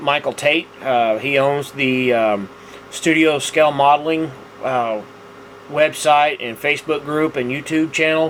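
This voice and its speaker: A man with a Texas accent speaks at a fairly slow pace. Noticeable background noise runs behind him. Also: fairly high pitch for a man, fairly even intonation. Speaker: scale model builder, video host. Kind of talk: casual tutorial monologue. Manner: halting, many fillers.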